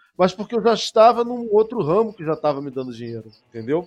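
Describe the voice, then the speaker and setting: Very wide pitch swings from a man, with music playing behind. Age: 40s. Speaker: science communicator and researcher. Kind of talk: interview conversation.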